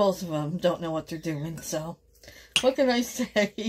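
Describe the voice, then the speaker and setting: A woman speaks at a fairly slow pace with very wide pitch swings. Light background noise is present. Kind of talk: casual cooking vlog chat. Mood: amused, chatty. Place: kitchen. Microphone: phone near.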